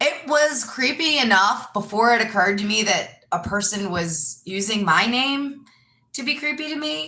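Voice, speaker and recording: Loud and animated, a woman with a fairly high pitch speaks at a fairly slow pace with very wide pitch swings and audible room echo. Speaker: yoga teacher and live streamer. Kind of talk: casual live stream monologue. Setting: live stream.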